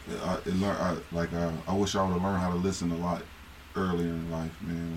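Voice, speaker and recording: A man's very deep, low voice, fairly quick and monotone, with audible room echo. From Akron, Ohio. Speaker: former basketball player. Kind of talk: casual chat.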